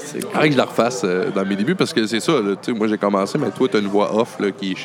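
A man with a Quebec accent, fairly low-pitched and fairly quick, amid noticeable background noise. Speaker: podcast host. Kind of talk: casual chat. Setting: bar interview (intro recorded at home). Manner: relaxed, jokey.

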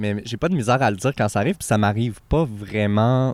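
A man with a normal speaking voice, fairly low pitch, fairly even intonation and a fairly quick pace. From Quebec, Abitibi (Amos). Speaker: podcast guest. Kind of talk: casual chat.

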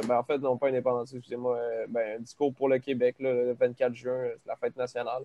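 A man's medium-pitched voice in a Quebec accent, at a moderate pace. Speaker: band member. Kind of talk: casual chat.

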